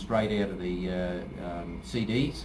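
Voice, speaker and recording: Audible room echo surrounds a man with an Australian accent whose pitch varies in an ordinary way. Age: 60s. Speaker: martial arts instructor. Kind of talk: promotional talk to camera. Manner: halting, many fillers.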